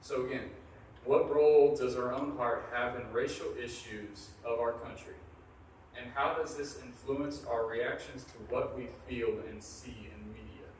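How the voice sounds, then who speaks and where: A man speaks at a fairly slow pace, his loudness swinging widely. Noticeable background noise and audible room echo fill the recording. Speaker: event moderator. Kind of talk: asking audience Q&A questions. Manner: quiet.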